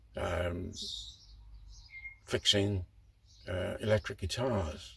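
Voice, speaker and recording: He has an English accent. The man's pitch varies in an ordinary way. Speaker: model railway hobbyist. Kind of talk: casual vlog monologue. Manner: hesitant, many fillers.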